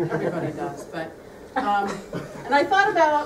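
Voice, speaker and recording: A loud voice comes at a moderate pace. Noticeable background noise and audible room echo are present. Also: woman. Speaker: coworker giving retirement gift. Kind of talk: retirement party speech. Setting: room with audience, no microphone.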